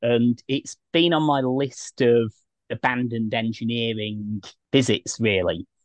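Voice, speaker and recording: A man speaks with a British accent. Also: dry, close sound with no echo. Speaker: travel podcast host. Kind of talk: casual interview. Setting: in a van at a campsite. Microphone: choppy connection early on.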